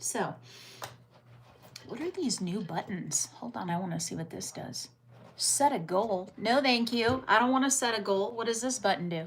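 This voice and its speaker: At a moderate pace, a woman with an American accent speaks with vocal fry. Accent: viewers say she sounds British. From United States. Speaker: livestreamer. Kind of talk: casual live-stream chat reading viewer comments.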